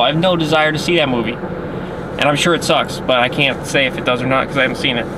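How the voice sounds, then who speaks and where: Talking at a very fast pace, a man with a fairly high pitch is heard with audible room echo and noticeable background noise. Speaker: movie reviewer. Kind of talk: casual movie reaction rant. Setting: right outside the theater. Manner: stuttering, halting; animated.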